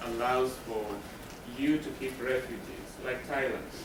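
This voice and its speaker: With ordinary pitch variation, a man talks at a fairly slow pace through audible room echo and noticeable background noise. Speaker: refugee trauma counselor. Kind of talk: lecture.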